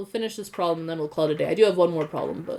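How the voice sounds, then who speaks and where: A woman speaks in a fairly low voice. Her intonation stays fairly even. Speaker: high school math and physics teacher. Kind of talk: online class lecture.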